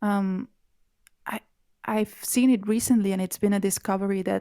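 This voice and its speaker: In a very clean recording with a silent background, a woman with a medium pitch and a dark, mellow tone speaks at a moderate pace with fairly even intonation. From Catalonia. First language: Catalan. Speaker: language activist. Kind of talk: interview. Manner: halting.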